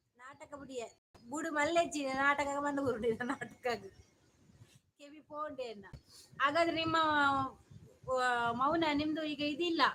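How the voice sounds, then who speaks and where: Her high, bright, sharp voice shows big swings in loudness. The woman's intonation stays fairly even. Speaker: live streamer. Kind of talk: casual live-stream chat.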